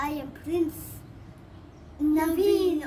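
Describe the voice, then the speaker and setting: Through clear background noise, a woman performs a put-on character voice at an extremely high pitch. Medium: read story. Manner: grand.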